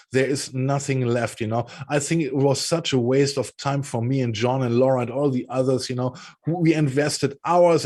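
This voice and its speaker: A man with a German accent and a fairly high pitch speaks at a moderate pace with ordinary pitch variation in a very clean recording with a silent background. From Germany. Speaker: political commentary show co-host. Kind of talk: casual political discussion.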